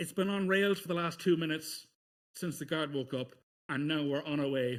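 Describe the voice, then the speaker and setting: A man with an Irish accent speaks in a fairly high pitch. The recording is very clean, with a silent background. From Ireland. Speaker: speedrunner. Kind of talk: live gameplay commentary. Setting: live-streamed marathon event.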